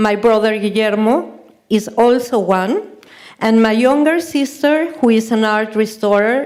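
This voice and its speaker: Speaking at a fairly slow pace in a fairly high voice, a woman shows ordinary pitch variation, with audible room echo around her. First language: Spanish. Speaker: artist and photographer. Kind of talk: lecture. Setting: stage with audience. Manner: halting.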